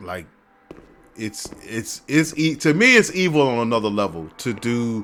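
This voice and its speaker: Here is an unremarkable speaking voice from a man with a fairly low pitch. He talks at a moderate pace. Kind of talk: casual gameplay commentary.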